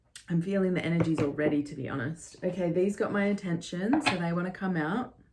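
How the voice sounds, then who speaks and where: A woman talks at a very fast pace, her pitch fairly low with ordinary variation. Noticeable background noise sits behind her voice. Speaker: tarot reader. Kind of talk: tarot reading monologue.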